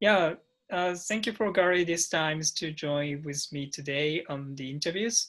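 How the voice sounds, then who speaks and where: A man with a Japanese accent speaks at a moderate pace in a fairly high voice with ordinary pitch variation. The background is quiet. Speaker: interviewer, non-profit founder. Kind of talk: interview. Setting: call.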